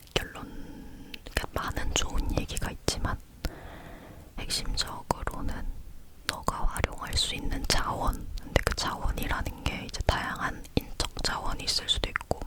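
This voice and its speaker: A woman whispers fairly slowly while noticeable background noise continues. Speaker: ASMR creator. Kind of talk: whispering ASMR chat about books and bookshelf. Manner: whispered, soft, chatty.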